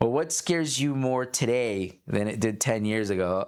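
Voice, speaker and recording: Using a plain, everyday voice, a man speaks at a fairly slow pace and medium pitch with lively intonation. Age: 40s. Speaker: entrepreneur. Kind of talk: casual podcast conversation.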